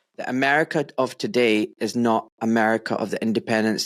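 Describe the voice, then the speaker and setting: Heard in a dry, close sound with no echo, a man with a Scottish accent speaks at a medium pitch. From Scotland. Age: 40s. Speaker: podcast host. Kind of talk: interview.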